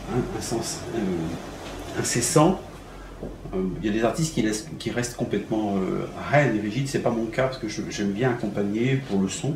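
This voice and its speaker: Lively intonation from a man at medium pitch, moderate pace, with audible room echo and noticeable background noise. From Algeria, raised in France from childhood. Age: 60s. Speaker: concert pianist. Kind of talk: interview. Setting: at his home. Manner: halting, many hesitations and repetitions.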